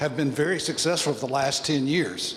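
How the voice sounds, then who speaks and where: Against noticeable background noise, a man with a Southern US accent talks at a moderate pace in a fairly high pitch. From US South. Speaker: audience member asking a question. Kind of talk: audience question at a panel forum. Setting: public forum with audience.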